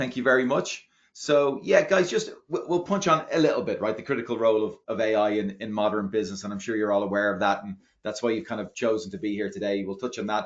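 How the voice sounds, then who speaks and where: A man speaks very fast in an Irish accent. His pitch sits in the medium range. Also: ordinary pitch variation. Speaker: product marketing executive. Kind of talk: webinar presentation. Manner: halting.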